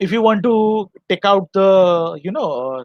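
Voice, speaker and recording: This is a man speaking. His pitch is high. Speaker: literature teacher. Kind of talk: lecture. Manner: halting.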